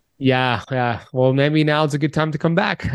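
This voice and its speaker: A man with an American accent and an ordinary speaking voice, at a fairly quick pace with ordinary pitch variation, in a dry, close sound with no echo and a quiet background. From Miami, Florida, US. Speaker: health author and podcaster. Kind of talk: interview.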